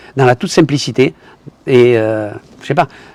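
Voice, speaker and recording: Delivered at a moderate pace with a southern French accent, the speech has a dry, close sound with no echo. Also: man. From southern France. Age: 70s. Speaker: retired tradesman and investment promoter. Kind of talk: testimony. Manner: halting, with repetitions.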